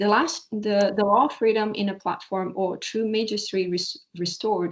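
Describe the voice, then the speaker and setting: A woman with a Portuguese accent speaks at a medium pitch. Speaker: PhD researcher presenting a paper. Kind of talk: academic paper presentation. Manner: halting, stumbling over words.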